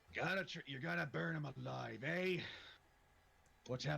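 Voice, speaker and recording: Putting on a loud, gruff, raspy character voice, a man speaks at medium pitch and a moderate pace with very wide pitch swings. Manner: surly, aggressive.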